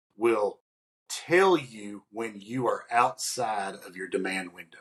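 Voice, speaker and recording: A man speaks very slowly, with a quiet background behind him. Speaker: podcast co-host, industrial maintenance consultant; podcast co-host. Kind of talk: casual conversational podcast. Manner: many fillers and restarts. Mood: warm, anecdotal. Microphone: earbuds.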